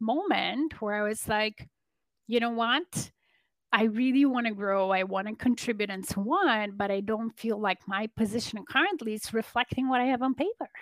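A woman with a Polish accent talks at a moderate pace and a fairly high pitch, with ordinary pitch variation. The sound is dry and close, with no echo. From Poland. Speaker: business and leadership coach. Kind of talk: interview conversation. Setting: remote call.

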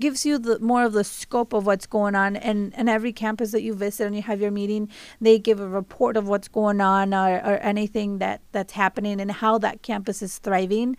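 A woman at medium pitch talks at a fairly quick pace with hardly any pauses. Her intonation is monotone and flat, on a very clean recording with a silent background. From Mexico. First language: Spanish. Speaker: college trustee. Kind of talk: radio interview, casual chat. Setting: radio studio.

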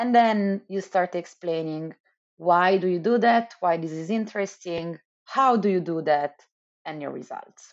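The speaker uses an Italian accent at a fairly slow pace, with big swings in loudness. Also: woman, medium pitch for a woman, ordinary pitch variation. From Italy, Milan. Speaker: economist, postdoctoral researcher. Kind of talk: interview.

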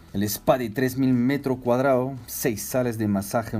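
This man has a French accent and a dark, mellow tone, speaking at a moderate pace with ordinary pitch variation. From France, Strasbourg. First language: French (speaking Spanish). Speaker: hotel general manager. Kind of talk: interview.

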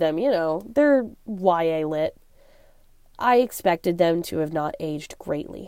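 A woman with an American accent speaks at a moderate pace, her pitch swinging very widely. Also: very clean recording, silent background. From US Pacific Northwest (Seattle area). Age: 20s. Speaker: book commentary video creator. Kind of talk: casual monologue review.

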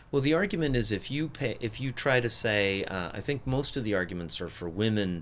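Speaking at a moderate pace, a man with an unremarkable speaking voice uses lively intonation. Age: 50s. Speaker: podcast host and gym owner. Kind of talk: casual political discussion.

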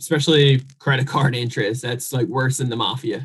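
A man's voice, pitched fairly high, comes across with a touch of breathiness. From New Jersey. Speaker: real estate investor and credit expert. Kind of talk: podcast interview.

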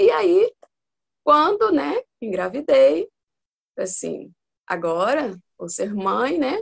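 A woman speaks at a very slow pace with long, frequent pauses, the sound dry and close with no echo. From Espírito Santo, Brazil. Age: 40s. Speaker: mother, accountant and pedagogy student. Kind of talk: casual interview.

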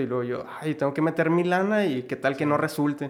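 There is noticeable background noise as a man speaks at a fairly quick pace. His voice is fairly high, with ordinary pitch variation. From Mexico, Ciudad Juárez (Chihuahua). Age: 20s. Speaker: entrepreneur, clothing customization business owner. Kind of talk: casual interview chat.

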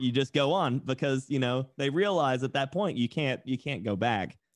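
With an American accent, a man talks at a medium pitch in a dry, close sound with no echo. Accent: Southern US, toned down. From Tennessee, US South. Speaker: tattoo artist and streamer. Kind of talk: casual podcast interview.

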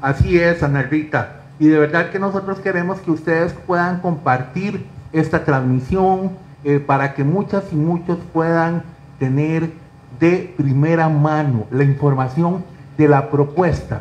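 Fairly slow and fairly even in intonation, a man speaks in a fairly high voice with a Costa Rican accent. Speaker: talk show host. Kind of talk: interview.

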